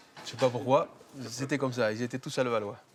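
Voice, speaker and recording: A man's voice at a medium pitch. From Corrèze, France. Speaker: farmer. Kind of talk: documentary interview. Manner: halting, many hesitations.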